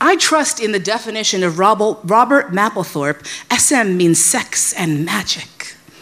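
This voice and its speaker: A woman with a New York accent and very wide pitch swings, amid noticeable background noise. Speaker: sex educator. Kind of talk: live storytelling.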